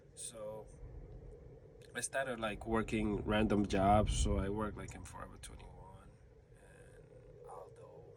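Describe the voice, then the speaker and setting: A man with an American accent at a fairly slow pace, amid noticeable background noise and audible room echo. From New York. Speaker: vlogger. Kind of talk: casual monologue. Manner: rambling, hesitant with fillers.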